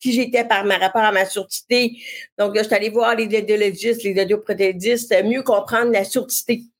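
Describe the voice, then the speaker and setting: At a moderate pace, a woman speaks at a fairly high pitch with monotone, flat intonation. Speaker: web communications entrepreneur. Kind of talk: interview, personal testimony.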